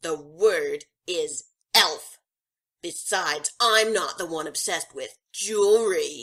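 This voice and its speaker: A female-sounding put-on character voice shouts at a medium pitch for a woman, at a fairly slow pace with long, frequent pauses. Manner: angry, shouting.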